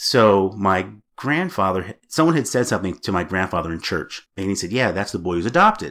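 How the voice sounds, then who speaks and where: A plain, everyday voice at a fairly quick pace, on a very clean recording with a silent background. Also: man, fairly low pitch for a man, lively intonation. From Massachusetts, US. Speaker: adoptee. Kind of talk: interview.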